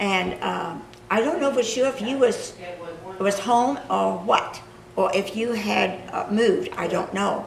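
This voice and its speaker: In an American accent, the speaker goes at a fairly slow pace, with audible room echo and noticeable background noise. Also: woman. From Kansas. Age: 80s+. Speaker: local history interviewer. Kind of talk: reminiscing conversation.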